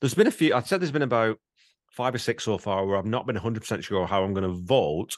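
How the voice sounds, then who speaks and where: Against a quiet background, a man with a normal speaking voice talks at a fairly quick pace, fairly low in pitch, with lively intonation. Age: 50s. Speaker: podcast co-host. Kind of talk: casual chat.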